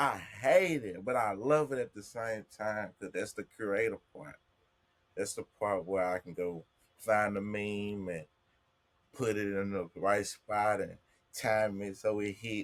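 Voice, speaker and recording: A man with a strong Southern US accent, a fairly low pitch, a very slow pace, long, frequent pauses and big swings in loudness. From US South, Jackson, Mississippi. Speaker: content creator. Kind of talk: casual chat.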